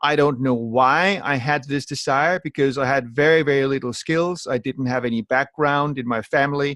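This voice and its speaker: Hardly pausing at all, a man with a slight Danish accent speaks at a fairly high pitch with fairly even intonation, in a dry, close sound with no echo. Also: moderate pace. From Denmark. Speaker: network marketing entrepreneur. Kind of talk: training call talk.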